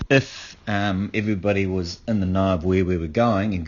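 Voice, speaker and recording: A man's very deep, low voice keeps a mostly level intonation throughout. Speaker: outdoor education student. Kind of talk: spoken reflective log. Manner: halting, many fillers.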